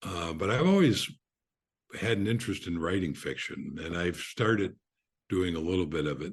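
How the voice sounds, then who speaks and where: Against a quiet background, a man speaks with a very deep, low pitch and fairly even intonation. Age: 70s. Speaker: author. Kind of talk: podcast interview. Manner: halting.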